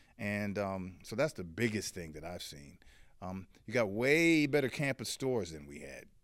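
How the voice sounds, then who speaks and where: A man with a fairly low pitch talks at a moderate pace, his pitch swinging very widely and his loudness rising and falling sharply. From Washington DC. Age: 60s. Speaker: journalist. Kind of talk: interview conversation. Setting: studio.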